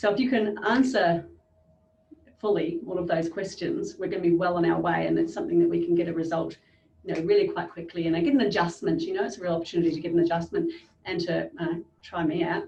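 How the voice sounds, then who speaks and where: A woman with an Australian accent, talking at a very fast pace. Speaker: business coach. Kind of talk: interview.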